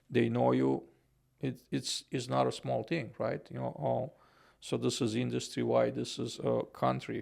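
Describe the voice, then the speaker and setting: In a Romanian accent, a man speaks at a moderate pace. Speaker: podcaster and housing consultant. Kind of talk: podcast interview. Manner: halting, many fillers.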